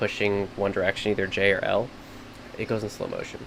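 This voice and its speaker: Over noticeable background noise, a man with a fairly low voice talks at a fairly quick pace. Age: 30s. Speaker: streamer and video editor. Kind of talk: live editing tutorial stream. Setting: live stream. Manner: fast; words blur together.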